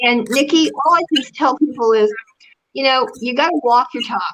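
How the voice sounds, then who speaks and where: A woman speaks in a raised, projected voice with a high pitch. Her pitch swings very widely. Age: 60s. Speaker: public relations consultant. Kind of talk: interview.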